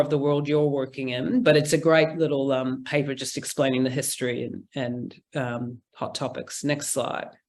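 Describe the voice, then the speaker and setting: This woman has a very deep, low voice and a New Zealand accent, speaking at a moderate pace with fairly even intonation. The recording is very clean, with a silent background. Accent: Kiwi. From New Zealand, Auckland. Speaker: implementation science researcher. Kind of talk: conference presentation; casual chat.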